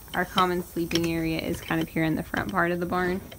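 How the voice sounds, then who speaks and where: A woman's fairly low pitch at a fairly quick pace, in an ordinary speaking voice. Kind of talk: casual vlog chat. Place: farm machine. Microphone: phone near.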